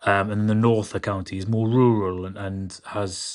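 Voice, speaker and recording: In a South Welsh accent, a man with a fairly low pitch talks at a moderate pace against a quiet background. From Wales, Carmarthenshire (Ammanford area). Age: 30s. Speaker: political candidate. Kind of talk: interview.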